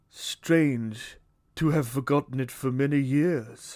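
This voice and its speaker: Soft-spoken and fairly slow, a man with a fairly high pitch does a put-on character voice on a very clean recording with a silent background. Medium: read story. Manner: mild, solemn.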